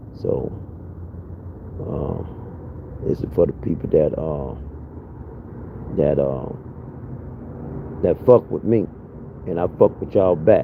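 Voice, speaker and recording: This man talks at a fairly slow pace with a very deep, low pitch and lively intonation. He leaves long, frequent pauses, and there is noticeable background noise. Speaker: live streamer. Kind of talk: casual live-stream monologue. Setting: live stream. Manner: casual, halting with fillers.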